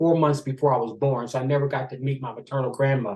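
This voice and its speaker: A man speaks with fairly high pitch. His voice is somewhat breathy. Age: 70s. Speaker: author and interview guest. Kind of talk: personal storytelling interview.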